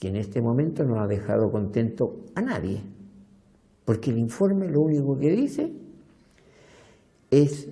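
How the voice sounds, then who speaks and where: A man with a fairly high, somewhat breathy voice and a dark, mellow tone speaks at a fairly slow pace with very wide pitch swings, amid audible room echo. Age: 70s. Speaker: retiree and pension activist. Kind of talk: documentary interview.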